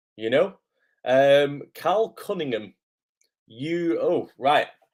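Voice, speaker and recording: Very slow speech from a man with a British accent. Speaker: acting coach. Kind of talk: live stream chat. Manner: hesitant, many fillers.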